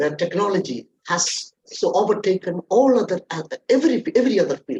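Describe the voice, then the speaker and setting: A man with a Keralan accent and lively intonation. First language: Malayalam. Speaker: corporate trainer. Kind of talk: webinar talk.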